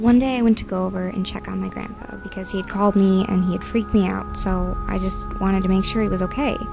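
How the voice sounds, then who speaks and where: Over background music, a woman talks at a very fast pace with hardly any pauses. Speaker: student. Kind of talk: book trailer narration, first-person story.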